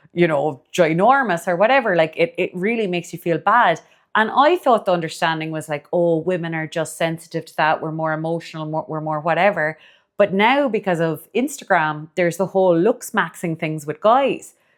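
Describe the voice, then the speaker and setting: A woman with a Cork accent speaks at a fairly quick pace in a fairly low pitch with ordinary variation, in a very clean recording with a silent background. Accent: Irish (Cork). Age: 40s. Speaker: dietitian and podcast host. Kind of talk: casual podcast monologue.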